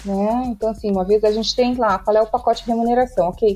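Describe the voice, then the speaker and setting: Fairly high in pitch with ordinary variation, this woman has an unremarkable speaking voice. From Rio Grande do Sul, southern Brazil. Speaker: tech recruiter. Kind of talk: interview.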